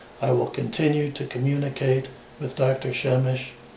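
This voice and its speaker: A man talks at a fairly slow pace and medium pitch, with monotone, flat intonation. Noticeable background noise and audible room echo are present. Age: 60s. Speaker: patient giving testimonial. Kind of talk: testimony. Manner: measured, formal.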